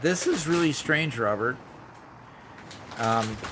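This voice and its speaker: Noticeable background noise and audible room echo accompany a man with an American accent who speaks fairly slowly at medium pitch with ordinary pitch variation. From US Pacific Northwest, Seattle area. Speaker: gaming streamer. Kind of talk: casual chat during livestream gameplay.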